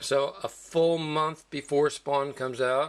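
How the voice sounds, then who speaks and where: Fairly high pitch from a man. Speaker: comic book collector. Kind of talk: casual talk to camera. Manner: slow.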